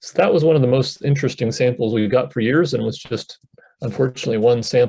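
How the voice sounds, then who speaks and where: A man's very fast, somewhat breathy voice with an American accent, dark and mellow in tone, medium in pitch, with fairly even intonation. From eastern US, Chesapeake Bay region. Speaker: scientist. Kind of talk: presentation to a panel audience.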